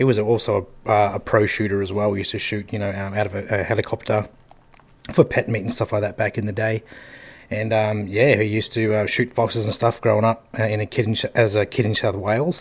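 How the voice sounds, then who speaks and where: With an Australian accent, a man speaks very fast at a fairly low pitch in a monotone, flat intonation. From Australia, Northern Territory (Darwin). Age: 40s. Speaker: hunter. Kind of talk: casual chat.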